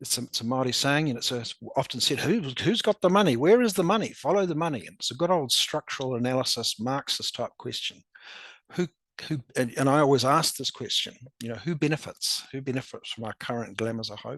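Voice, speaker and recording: Against a quiet background, a man with a fairly high voice speaks at a fairly quick pace with lively intonation and big swings in loudness, in a dry, close sound with no echo. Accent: strong New Zealand. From New Zealand. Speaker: academic presenter. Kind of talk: presentation. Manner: halting, many repetitions.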